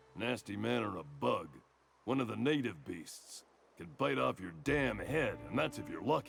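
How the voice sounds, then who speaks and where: Over music in the background, a man uses a put-on character voice at medium pitch, drawling at a moderate pace. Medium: video game. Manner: folksy drawl.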